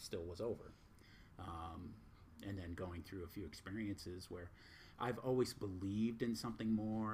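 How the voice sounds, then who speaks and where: Somewhat breathy, a man with an American accent speaks at a moderate pace with fairly even intonation. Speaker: spiritual teacher. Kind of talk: casual chat. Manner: blunt.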